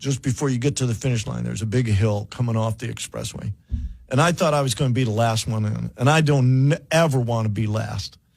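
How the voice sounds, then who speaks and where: With an American accent, a man of medium pitch talks at a fairly quick pace in a somewhat breathy voice with ordinary pitch variation. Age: 70s. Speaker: radio host. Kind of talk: radio interview. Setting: studio.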